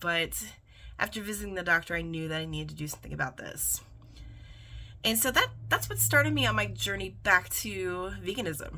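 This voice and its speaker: Over a very clean recording with a silent background, a woman with an American accent talks at a fairly quick pace, with big swings in loudness and long, frequent pauses. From US Midwest, East Central Indiana. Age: 40s. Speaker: vlogger. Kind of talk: personal vlog monologue.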